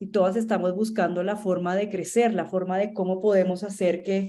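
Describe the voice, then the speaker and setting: A woman with a Colombian accent speaks at a medium pitch and a moderate pace. Her tone is dark and mellow. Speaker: marketing agency founder, instructor. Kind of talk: online masterclass lecture. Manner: conversational, many fillers and repetitions.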